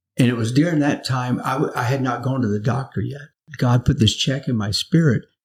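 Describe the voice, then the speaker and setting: At a fairly quick pace, a man with a medium pitch speaks in a somewhat breathy voice. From US South. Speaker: pastor. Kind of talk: interview. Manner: halting.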